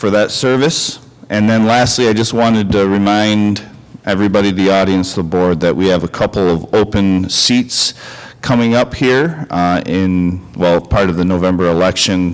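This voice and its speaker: A man speaks at a moderate pace with fairly low pitch. His loudness is very even, and his pitch varies in an ordinary way. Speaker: school administrator. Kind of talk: board meeting. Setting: meeting room with microphones.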